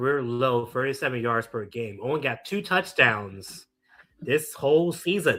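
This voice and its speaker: At a fairly slow pace, a man talks in a bright, sharp, animated tone with lively intonation, in a very clean recording with a silent background. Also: medium pitch for a man. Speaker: streamer reacting to live sports. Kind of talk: live reaction commentary.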